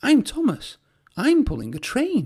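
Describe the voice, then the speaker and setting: A woman uses a put-on character voice, high in pitch, at a moderate pace. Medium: read story.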